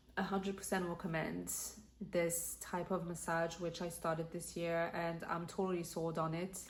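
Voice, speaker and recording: There is audible room echo around a woman whose pitch is fairly low. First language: French. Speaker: lifestyle vlogger. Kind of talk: casual vlog talk.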